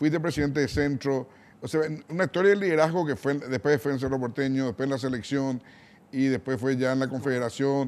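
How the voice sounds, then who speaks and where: Using a normal speaking voice, a man talks at a fairly quick pace with a medium pitch and ordinary pitch variation. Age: 60s. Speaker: TV interview host. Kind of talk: interview.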